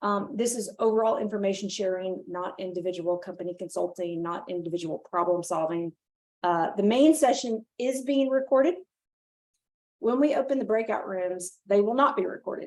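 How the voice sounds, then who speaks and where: Her intonation is lively. A woman talks at a medium pitch. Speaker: nonprofit leader and webinar host. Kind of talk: webinar presentation. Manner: fast; frequent fillers.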